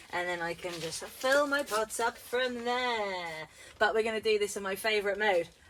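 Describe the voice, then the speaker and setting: Noticeable background noise sits behind a woman's voice. She speaks at a medium pitch with ordinary pitch variation. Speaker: gardening vlogger. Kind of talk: casual vlog tutorial. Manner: loud. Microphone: no microphone, camera audio.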